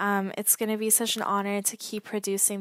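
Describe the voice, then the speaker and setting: A woman with a Canadian accent talks at a moderate pace in an unremarkable speaking voice, fairly high in pitch, with a dry, close sound with no echo. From Canada, Toronto. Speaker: podcast host, sales coach. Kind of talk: solo podcast monologue.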